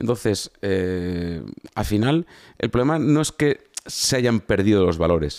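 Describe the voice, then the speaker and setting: In a dry, close recording with no echo, a man with a fairly low pitch speaks fairly slowly in an animated tone with lively intonation. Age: 50s. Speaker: former soldier and entrepreneur. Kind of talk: casual interview.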